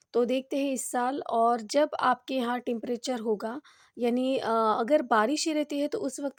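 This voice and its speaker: The sound is dry and close with no echo. A woman speaks at a high pitch with ordinary pitch variation. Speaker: gardening YouTuber. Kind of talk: tutorial. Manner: halting, many fillers.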